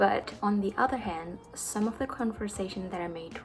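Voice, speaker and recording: Through noticeable background noise, a woman with a non-native accent and medium pitch talks at a fairly slow pace with ordinary pitch variation. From Indonesia. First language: not English. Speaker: barista and YouTuber. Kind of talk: Q&A vlog. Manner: casual.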